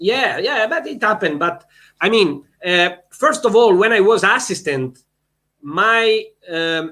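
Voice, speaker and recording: Raising and projecting his bright, sharp, high voice, a man with an Italian accent speaks at a fairly slow pace with very wide pitch swings and long, frequent pauses. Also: very clean recording, silent background. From Italy. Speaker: volleyball head coach. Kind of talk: interview. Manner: halting.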